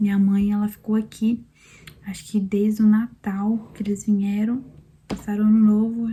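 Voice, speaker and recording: Soft-spoken and somewhat breathy, a woman talks in a monotone with flat intonation. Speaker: vlogger, mother sharing birth story. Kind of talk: personal testimony, casual vlog. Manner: soft-spoken, talking quietly.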